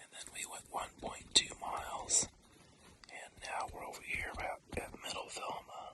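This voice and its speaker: Whispering from a man at a fairly slow pace, with big swings in loudness and noticeable background noise. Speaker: hiker vlogger. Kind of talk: outdoor vlog narration. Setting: outdoors at wilderness campsite.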